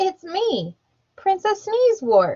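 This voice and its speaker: A woman's squeaky, put-on character voice at an extremely high pitch, with very wide pitch swings. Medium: read story.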